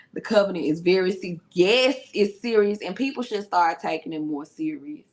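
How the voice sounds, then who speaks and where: With a Memphis accent, a woman at medium pitch and moderate pace makes very wide pitch swings and big swings in loudness. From US South (Memphis, Tennessee). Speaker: youtube reaction host, therapist. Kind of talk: live reaction chat. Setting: livestream.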